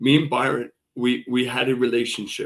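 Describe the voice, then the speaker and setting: The voice has vocal fry, moderate pacing and ordinary pitch variation. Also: man. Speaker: political defendant interviewed about his case. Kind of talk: interview. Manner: loud; animated.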